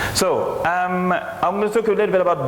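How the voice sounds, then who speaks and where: With audible room echo and noticeable background noise around him, a man speaks at a fairly quick pace. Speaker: conference speaker, technology executive. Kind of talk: conference presentation.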